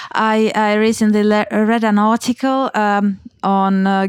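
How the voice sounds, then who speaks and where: A woman's medium-pitched voice with a Finnish accent and fairly even intonation. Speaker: podcast host. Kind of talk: interview. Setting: studio.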